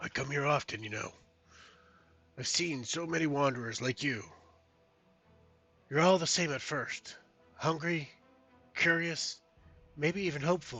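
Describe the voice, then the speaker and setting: A man speaks in a put-on character voice, raspy and fairly high-pitched, at a moderate pace. He leaves long, frequent pauses, with faint music in the background. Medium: actual play. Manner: low, bitter, sardonic.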